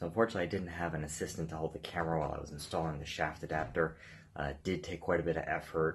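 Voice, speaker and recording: A man's very deep, low voice, monotone and flat, against a quiet background. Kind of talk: tutorial. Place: garage. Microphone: phone near.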